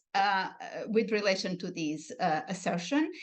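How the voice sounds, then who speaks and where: Speaking with a Portuguese accent, a woman moves at a fairly slow pace. Her pitch swings very widely. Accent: European Portuguese accent in English. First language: European Portuguese. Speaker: linguistics researcher. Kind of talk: academic lecture. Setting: online video broadcast. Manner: hesitant, many fillers.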